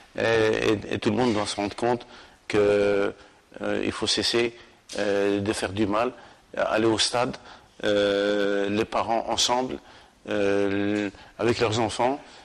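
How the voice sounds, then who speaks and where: A man's fairly low, monotone, flat voice at a very slow pace, with long, frequent pauses. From Algeria, Sétif region. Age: 60s. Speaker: football coach. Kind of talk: interview. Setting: club headquarters at the stadium. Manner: halting, many repetitions and hesitations.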